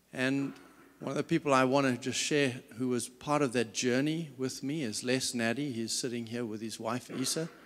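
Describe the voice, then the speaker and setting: A man talks with a South African accent. His pitch sits in the medium range. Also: fairly even intonation, moderate pace, very clean recording, silent background. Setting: stage with audience.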